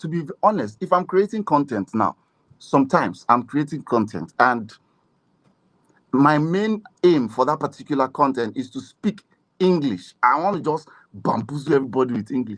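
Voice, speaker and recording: A man talks at a moderate pace in a fairly high pitch, his voice swinging very widely up and down. The sound is dry and close, with no echo. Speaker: voiceover artist and coach. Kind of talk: casual interview chat. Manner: conversational, mixes pidgin into English.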